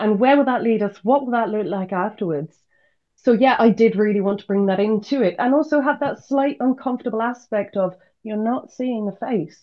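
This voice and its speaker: A woman's fairly high voice with a British accent and ordinary pitch variation. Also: moderate pace. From UK. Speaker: visual artist. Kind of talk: podcast interview. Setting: video podcast.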